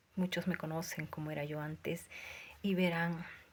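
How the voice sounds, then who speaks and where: A woman with a Lima accent speaks at a moderate pace in a fairly low, somewhat breathy voice. Her intonation stays monotone and flat. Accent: Peruvian (Lima) Spanish. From Peru, Lima. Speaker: self-described prophet, preacher. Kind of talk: religious testimony. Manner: fervent, preaching.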